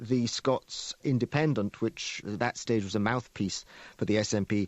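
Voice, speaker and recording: An ordinary speaking voice moves at a moderate pace with fairly even intonation, in a dry, close sound with no echo. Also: man. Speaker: cultural historian. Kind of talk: interview answer.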